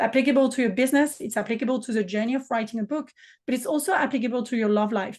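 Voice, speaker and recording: Speaking very fast in a French accent, a woman uses a high pitch with ordinary pitch variation. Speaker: business mentor and author. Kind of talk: podcast interview.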